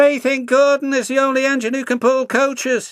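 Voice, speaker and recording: Put-on character voice, high in pitch, moving at a moderate pace. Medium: read story. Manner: brash, impatient.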